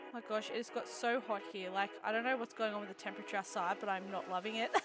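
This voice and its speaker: Over noticeable background noise, a woman speaks at a very fast pace with a medium pitch and ordinary pitch variation. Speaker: vtuber streamer. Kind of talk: casual live stream chat. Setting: live stream.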